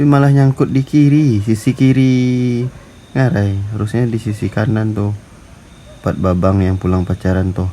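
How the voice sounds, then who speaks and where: At a moderate pace, a man speaks in a medium pitch with a dark, mellow tone and ordinary pitch variation. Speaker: travel vlogger. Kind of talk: casual travel vlog narration. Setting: outdoors.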